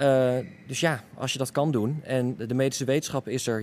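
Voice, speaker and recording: A man speaks in an unremarkable speaking voice, medium in pitch, with fairly even intonation. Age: 20s. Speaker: kidney donor. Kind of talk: interview.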